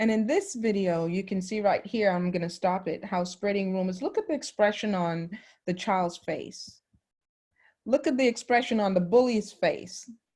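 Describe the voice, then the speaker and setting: A somewhat breathy woman at medium pitch and moderate pace, with ordinary pitch variation, on a very clean recording with a silent background. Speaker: school counselor. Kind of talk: lesson.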